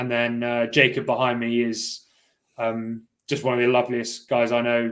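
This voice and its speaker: A man's medium-pitched voice with a Cornish accent, at a moderate pace, in a monotone, flat intonation. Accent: little Cornish. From Cornwall, England. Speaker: elite rower. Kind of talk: interview. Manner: hesitant, lots of fillers.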